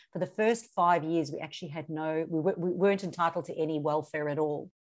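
A woman's fairly low voice at a very fast pace over a quiet background. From South Africa. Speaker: social media marketing coach. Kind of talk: interview.

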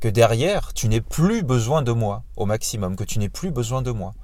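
A man talks at a medium pitch with lively intonation. His voice is somewhat breathy. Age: 30s. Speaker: podcast host and fitness coach. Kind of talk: casual solo monologue. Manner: halting, many fillers.

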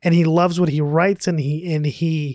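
A woman speaks in a very deep, low pitch, and the sound is dry and close with no echo. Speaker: movie podcast co-host. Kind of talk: casual chat.

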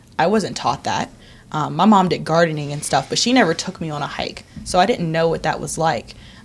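Lively in intonation, a woman with a normal speaking voice talks at a fairly low pitch and a fairly quick pace. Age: 20s. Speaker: nonprofit operations director. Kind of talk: interview.

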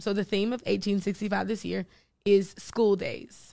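Heard on a very clean recording with a silent background, a woman has vocal fry and a medium pitch. She talks at a moderate pace. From North Carolina, Greensboro area. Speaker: comedian and producer. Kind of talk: casual interview chat. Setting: studio.

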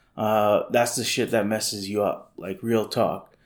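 The man talks with monotone, flat intonation. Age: 30s. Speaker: podcast host, lifestyle entrepreneur. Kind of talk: casual monologue. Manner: halting, many fillers.

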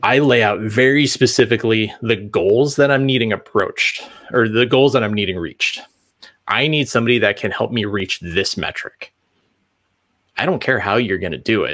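A man with an American accent speaks at a moderate pace. His medium-pitched voice shows ordinary pitch variation. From US Midwest, central Illinois. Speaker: UX designer and front end developer. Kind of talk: interview.

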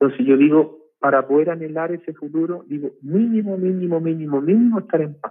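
In an ordinary speaking voice, a man with ordinary pitch variation talks at a fairly quick pace. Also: fairly high pitch for a man. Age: 50s. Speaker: organizational learning facilitator and ceremony leader. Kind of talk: casual interview.

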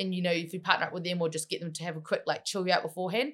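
Here a woman speaks with a New Zealand accent and a fairly low pitch. Her pace is very fast. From New Zealand, Waikato (Matamata). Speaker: MMA fighter and wrestler. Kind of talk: casual interview.

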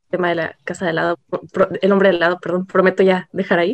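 The speech runs at a very fast pace, with a dry, close sound and no echo. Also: woman. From Ensenada, Baja California, Mexico. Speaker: podcast guest. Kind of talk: casual chat.

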